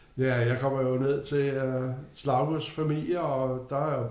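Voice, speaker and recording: A man with a fairly high pitch talks amid noticeable background noise and audible room echo. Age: 60s. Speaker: retiree. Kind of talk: casual interview.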